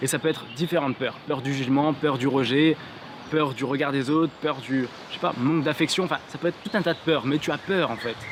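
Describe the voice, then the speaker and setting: Noticeable background noise sits behind a man's voice. He talks at a fairly quick pace and a fairly high pitch, with fairly even intonation. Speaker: motivational YouTuber. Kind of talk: motivational vlog talk to camera. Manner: fast.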